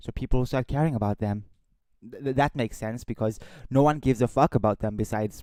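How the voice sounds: A natural reading voice carries ordinary pitch movement. Nothing can be heard behind it.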